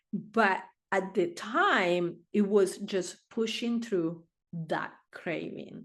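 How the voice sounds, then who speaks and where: In a quiet background, a woman with a non-native accent talks at a medium pitch with ordinary pitch variation. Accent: foreign. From Argentina. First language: Spanish. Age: 60s. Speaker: therapist. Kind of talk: interview answer.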